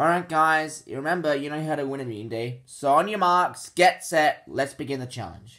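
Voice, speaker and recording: A man speaks at a moderate pace in a bright, sharp tone. His pitch varies in an ordinary way over a quiet background. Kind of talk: acted character dialogue. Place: home room. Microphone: phone near.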